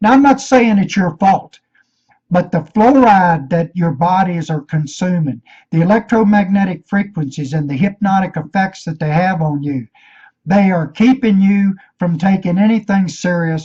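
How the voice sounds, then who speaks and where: The voice has an intense, dark, mellow tone in a Virginia accent. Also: man, high pitch for a man, ordinary pitch variation, moderate pace. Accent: Southern US (Virginia). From Virginia, US. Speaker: conspiracy video maker. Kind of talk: rant. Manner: intense, sounds like hollering.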